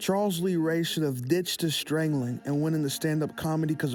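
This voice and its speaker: A man's fairly high voice with ordinary pitch variation, music in the background. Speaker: youtuber. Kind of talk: casual commentary. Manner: casual, slangy.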